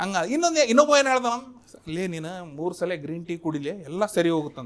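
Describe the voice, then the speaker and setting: With a North Karnataka accent, a man speaks at a high pitch with very wide pitch swings. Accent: North Karnataka Kannada. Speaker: stand-up comedian. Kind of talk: stand-up comedy set.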